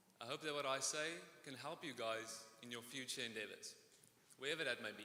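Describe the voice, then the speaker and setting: Fairly quick speech with a slight South African accent and ordinary pitch variation. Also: man, medium pitch for a man. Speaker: student speaker. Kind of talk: commencement speech.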